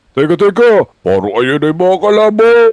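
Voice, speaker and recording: A man puts on a high character voice and speaks at a moderate pace. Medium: machinima.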